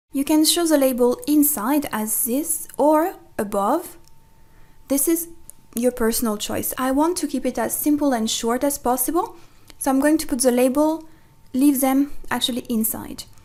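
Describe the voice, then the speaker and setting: A woman with a French accent talks at a moderate pace in a high pitch with ordinary pitch variation. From France. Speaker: online tutorial creator. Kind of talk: tutorial.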